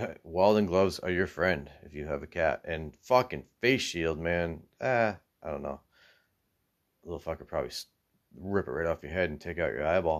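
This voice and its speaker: A man speaks at a moderate pace with a very deep, low pitch and ordinary pitch variation. His loudness swings widely in a very clean recording with a silent background. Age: 40s. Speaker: off-grid homesteader vlogger. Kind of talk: casual monologue.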